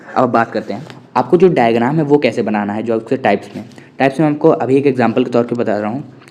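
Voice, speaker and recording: Talking very fast, the man is heard through noticeable background noise. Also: medium pitch for a man, ordinary pitch variation. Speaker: online teacher. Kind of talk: lecture.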